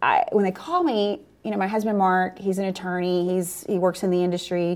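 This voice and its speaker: With an American accent, a woman talks at a fairly quick pace in an unremarkable speaking voice, medium in pitch and with hardly any pauses. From New Orleans, US South. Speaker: energy company founder and CEO. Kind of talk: interview conversation.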